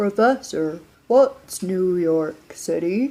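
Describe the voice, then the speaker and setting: Put on as a character voice, the speech moves at a very slow pace at a middle pitch. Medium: read story. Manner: earnest.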